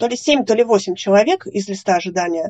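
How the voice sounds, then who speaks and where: A woman with lively intonation. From Russia, Yekaterinburg / Sverdlovsk region. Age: 30s. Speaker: lung transplant recipient. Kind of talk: interview testimony.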